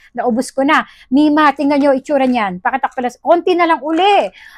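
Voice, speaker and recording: A woman with a high voice talks at a fairly quick pace with ordinary pitch variation, the sound dry with no echo and the background quiet. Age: 40s. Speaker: product review vlogger. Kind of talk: product review vlog. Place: home room. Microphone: phone near.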